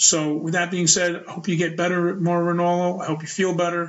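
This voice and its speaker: Speaking at a fairly quick pace, a man with a high pitch talks with a New York accent. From US Northeast, Brooklyn, New York. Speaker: wrestling podcast host. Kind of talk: casual solo podcast commentary.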